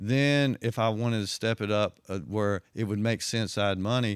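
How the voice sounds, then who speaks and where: With a strong southwest Virginia accent, a man speaks at a fairly slow pace with fairly even intonation on a very clean, dry, close recording with a silent background and no echo. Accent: heavy southwest Virginia. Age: 60s. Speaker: retired undercover police officer. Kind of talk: interview storytelling. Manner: casual, conversational.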